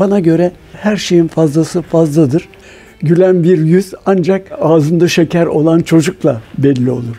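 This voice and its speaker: At a fairly slow pace, a man with a high pitch talks with ordinary pitch variation amid noticeable background noise. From Istanbul, Turkey. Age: 80s+. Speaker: confectionery shop owner. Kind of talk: documentary interview.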